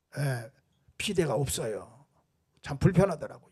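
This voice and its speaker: Very wide pitch swings in a man's voice. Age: 70s. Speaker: pastor. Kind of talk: sermon.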